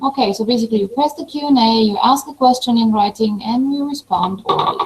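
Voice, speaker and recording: A woman speaks very fast with a non-native accent, her pitch high. Her pitch varies in an ordinary way, and noticeable background noise is present. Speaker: professor. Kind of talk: online webinar presentation.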